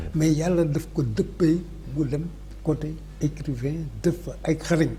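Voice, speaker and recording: Against noticeable background noise, the words come out very slowly. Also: man. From Senegal, Dakar. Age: 70s. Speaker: historian. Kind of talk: interview.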